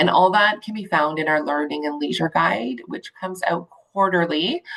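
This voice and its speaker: At a moderate pace, a plain, everyday voice moves with lively intonation. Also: woman, fairly low pitch for a woman. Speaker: intake coordinator at a community agency. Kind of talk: presentation.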